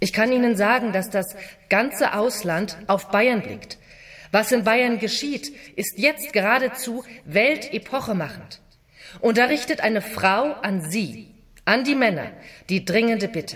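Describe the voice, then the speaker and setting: Over noticeable background noise, a woman speaks at a fairly slow pace, with a fairly high pitch and lively intonation. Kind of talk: dramatized reading of 1919 political speech and memoir. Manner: earnest, firm, declamatory and emphatic.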